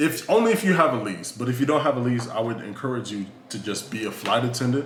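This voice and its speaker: Speaking very fast with an American accent and ordinary pitch variation, the voice carries over noticeable background noise and audible room echo. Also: man. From Southern California. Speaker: flight attendant and sociologist. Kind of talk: casual interview.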